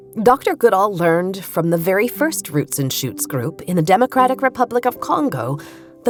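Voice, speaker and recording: A woman's voice with very wide pitch swings, music playing in the background. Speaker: podcast host, writer. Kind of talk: podcast narration.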